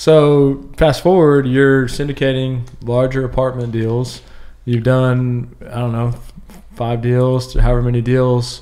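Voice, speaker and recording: A man speaks at a fairly slow pace in a medium pitch. His intonation is monotone and flat. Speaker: podcast host. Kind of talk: casual interview. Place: meeting room. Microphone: studio mic.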